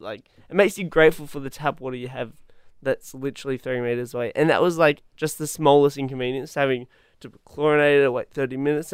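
Delivered at a very fast pace with fairly even intonation, the speech comes in an Australian accent. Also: man. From Western Australia, Perth. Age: young. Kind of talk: casual interview. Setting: studio.

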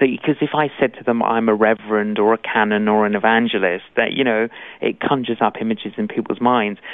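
A man with a London accent talks at a very fast pace. His intonation stays fairly even. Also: medium pitch for a man. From London, England (Greek Cypriot family). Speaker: evangelist preacher. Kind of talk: interview.

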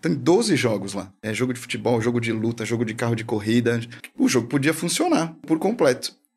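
A man of medium pitch talks fairly quickly. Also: ordinary pitch variation. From São Paulo, Brazil. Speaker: filmmaker and animation studio partner. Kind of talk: casual chat.

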